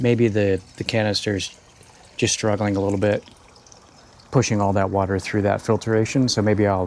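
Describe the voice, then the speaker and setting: Speaking at a moderate pace with long, frequent pauses, a man keeps a very even loudness and a fairly low pitch in monotone, flat intonation over noticeable background noise. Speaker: aquarium hobbyist YouTuber. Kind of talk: tutorial. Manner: calm; soft-spoken.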